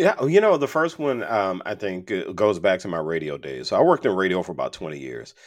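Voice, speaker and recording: Very fast speech with hardly any pauses, very wide pitch swings, big swings in loudness and vocal fry, over a quiet background. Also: man, very deep, low pitch for a man. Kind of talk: casual interview chat. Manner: humorous, easygoing.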